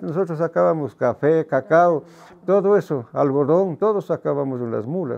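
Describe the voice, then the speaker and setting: A man with a fairly high pitch talks at a moderate pace, his pitch swinging very widely. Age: 70s. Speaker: retired muleteer. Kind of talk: interview. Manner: halting.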